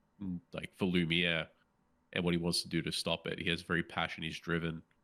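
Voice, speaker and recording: A man's very deep, low voice in an Australian accent, bright and sharp in tone, flat and monotone, at a fairly quick pace. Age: 30s. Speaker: podcast co-host. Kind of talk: casual chat.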